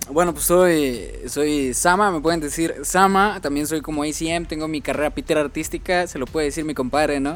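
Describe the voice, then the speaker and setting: The speaker has a Mexican accent, a moderate pace and fairly even intonation. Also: man, fairly high pitch for a man. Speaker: podcast co-host and editor. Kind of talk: casual chat.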